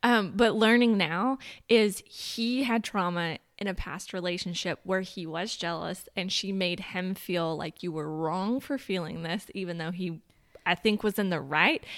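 A woman with a plain, everyday voice at medium pitch, ordinary pitch variation and a fairly slow pace, on a very clean recording with a silent background. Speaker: guest. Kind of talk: casual chat.

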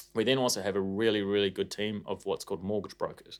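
A man speaks with a New Zealand accent. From New Zealand, Auckland. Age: 30s. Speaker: financial advisor and company CEO. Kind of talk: casual interview.

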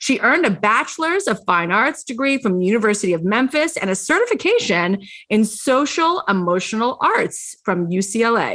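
A woman's fairly high, animated and upbeat voice with very wide pitch swings, a moderate pace and hardly any pauses, in a very clean recording with a silent background. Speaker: podcast host. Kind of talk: interview with scripted intro. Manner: animated, upbeat.

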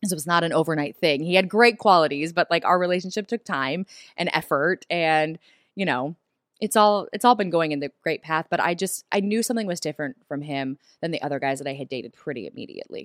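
With an American accent, a woman speaks at a very fast pace with lively intonation and a fairly low pitch, the sound dry and close with no echo. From US South. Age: 30s. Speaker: TV host. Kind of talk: casual chat. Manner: animated.

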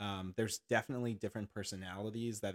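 With a fairly low pitch and fairly even intonation, a man speaks in an ordinary speaking voice, the sound dry and close with no echo. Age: 30s. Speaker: nurse and fitness instructor. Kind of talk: casual chat.

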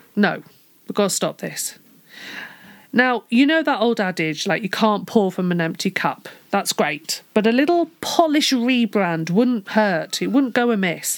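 Speaking at a fairly slow pace, a woman with a fairly high pitch sounds animated, her pitch swinging very widely. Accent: British. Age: 40s. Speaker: podcast host. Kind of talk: solo podcast talk.

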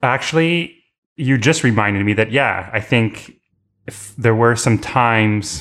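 A man with a Canadian accent talks in an ordinary speaking voice at a fairly slow pace. The recording is very clean, with a silent background. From Canada, Toronto. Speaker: podcast guest. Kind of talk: casual chat.

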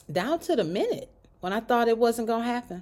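On a very clean recording with a silent background, a woman speaks in a warm tone with lively intonation. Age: 50s. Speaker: faith podcast host. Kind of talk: inspirational monologue. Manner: warm, conversational.

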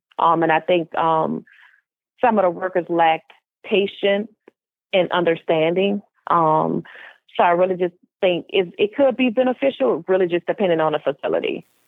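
A woman's fairly low voice with an American accent, at a moderate pace with long, frequent pauses, very even loudness and ordinary pitch variation. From US South, New Orleans, Louisiana. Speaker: mental health advocate and author. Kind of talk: personal testimony in interview.

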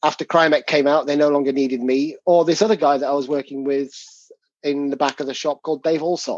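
A man with an English accent talks at a very fast pace in a fairly high pitch. His intonation is fairly even, and the sound is dry and close with no echo. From England. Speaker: tabletop game designer. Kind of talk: casual interview.

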